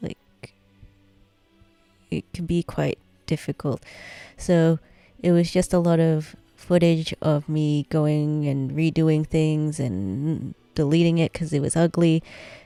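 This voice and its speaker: A woman's very deep, low voice with fairly even intonation, a very slow pace, long and frequent pauses, and music in the background. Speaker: digital artist. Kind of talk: tutorial voice-over. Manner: slow, many pauses.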